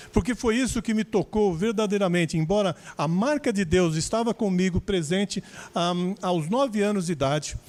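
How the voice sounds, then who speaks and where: A man talks in a high voice. Behind him there is silence, and the recording is very clean. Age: 60s. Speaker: preacher. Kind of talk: testimony. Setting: church service, livestream.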